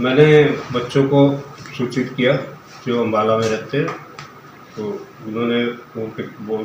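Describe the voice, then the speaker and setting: A man with a medium-pitched voice speaks in a fairly even tone over noticeable background noise, with audible echo in the room. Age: 70s. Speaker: assault victim, elderly landowner. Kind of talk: news interview.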